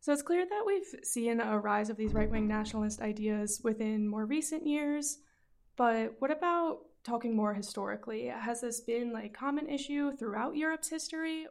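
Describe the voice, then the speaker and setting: This woman has an ordinary speaking voice with a fairly high pitch. She talks at a moderate pace with lively intonation. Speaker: student podcast host. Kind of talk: interview.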